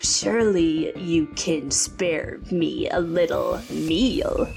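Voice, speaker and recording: Clear music plays in the background as a gravelly, put-on character voice speaks at a very slow pace. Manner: menacing.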